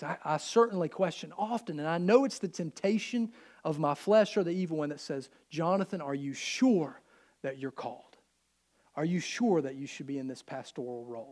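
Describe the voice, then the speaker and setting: In a Southern US accent, a man with a fairly high voice talks at a fairly quick pace with lively intonation. His loudness swings widely, and the recording is very clean with a silent background. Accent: US South. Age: 30s. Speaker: pastor. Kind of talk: sermon.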